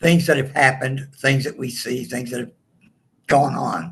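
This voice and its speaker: A man's somewhat breathy voice carries a strong Southern US accent. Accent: strong rural Southern. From southeast Texas, earlier Louisiana. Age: 60s. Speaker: comedian. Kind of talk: interview.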